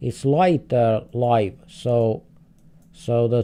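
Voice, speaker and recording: A man at a very slow pace, medium in pitch, with a dark, mellow tone. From Finland. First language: Finnish. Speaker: streamer, game host. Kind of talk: live gaming stream commentary. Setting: live stream. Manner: halting, repeats words.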